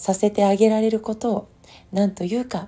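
Somewhat breathy and dark, mellow in tone, a woman speaks in a very clean recording with a silent background. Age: 50s. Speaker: podcast host, former nurse and homeopath. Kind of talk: solo monologue podcast. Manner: relaxed, reflective.

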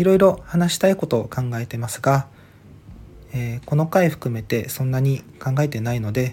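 At a moderate pace, a man with a slight Okinawan accent speaks at a medium pitch with ordinary pitch variation and a dark, mellow, somewhat breathy tone. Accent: slight Okinawan accent, by his own account. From Okinawa, Ishigaki Island. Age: 30s. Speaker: podcaster. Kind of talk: solo monologue podcast. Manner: halting, many fillers.

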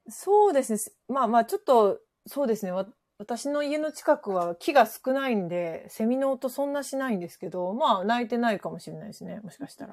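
Lively intonation moves at a fairly quick pace over a very clean recording with a silent background. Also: woman, fairly high pitch for a woman. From western Japan, Kansai area, rural. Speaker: office worker on remote work. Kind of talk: casual chat.

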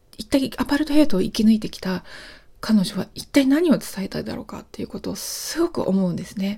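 A woman's somewhat breathy voice, dark and mellow in tone, with lively intonation. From Japan. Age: 40s. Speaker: podcast host. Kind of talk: solo monologue.

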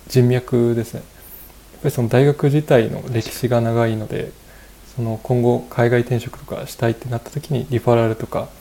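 This man talks at a moderate pace in a medium pitch, with a dark, mellow, somewhat breathy tone, a monotone, flat intonation, and big swings in loudness. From Japan, Fukushima. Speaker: software engineer. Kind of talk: casual interview. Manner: polite, hesitant with fillers.

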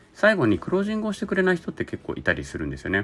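Very fast speech from a man, his pitch swinging very widely. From Japan (Zainichi Korean). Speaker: labor and social security consultant. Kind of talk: solo podcast monologue.

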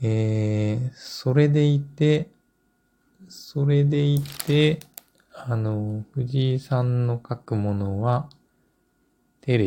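A man speaks very slowly at a medium pitch, his tone dark, mellow and somewhat breathy. His loudness swings widely while his pitch varies in an ordinary way. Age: 40s. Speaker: book editor and publisher. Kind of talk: solo podcast monologue. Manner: halting, many filler words.

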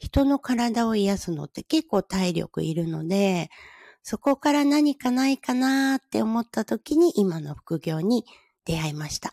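A woman speaks at a fairly slow pace in a fairly high, somewhat breathy voice with a dark, mellow tone and very wide pitch swings, the sound dry and close with no echo on a very clean recording against a silent background. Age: 50s. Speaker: podcaster and hair-makeup artist. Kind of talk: casual solo talk.

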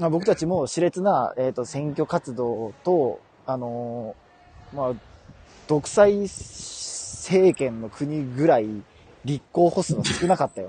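Speaking very slowly with a Kansai accent, a man uses a fairly high pitch and lively intonation. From Kansai, Japan. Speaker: podcast co-host. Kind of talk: casual comedic chat. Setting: live stream. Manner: animated, laughing often.

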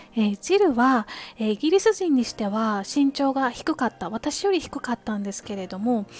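The woman's pitch is high, with very wide swings. The sound is dry and close, with no echo. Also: moderate pace. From Kansai, Japan. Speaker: podcaster. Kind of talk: casual monologue. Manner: polite, gentle.

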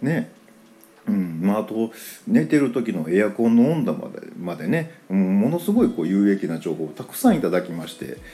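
Dark, mellow tone from a man, full of very wide pitch swings. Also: moderate pace, big swings in loudness. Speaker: podcaster. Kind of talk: casual monologue. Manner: relaxed, filler-heavy.

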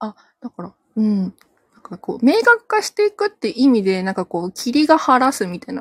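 A woman speaks fairly quickly at a high pitch, with very wide pitch swings and big swings in loudness. The sound is dry and close with no echo. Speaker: livestream listener joining to talk. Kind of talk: casual conversation. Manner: giggly.

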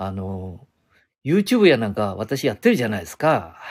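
A man with a Nagoya accent and very wide pitch swings. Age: 70s. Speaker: podcaster. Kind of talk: casual monologue. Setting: outdoors. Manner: rambling, halting with fillers.

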